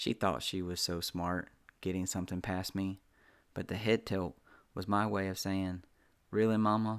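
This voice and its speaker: On a very clean recording with a silent background, a man with a very deep, low pitch and a Southern US accent speaks at a moderate pace in a monotone, flat way. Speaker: author reading own story. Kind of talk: reading aloud.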